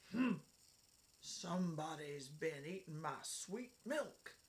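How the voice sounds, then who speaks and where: This is a put-on character voice, gruff and raspy at a middle pitch. It moves at a very slow pace. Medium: read story. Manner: slow, grumbling.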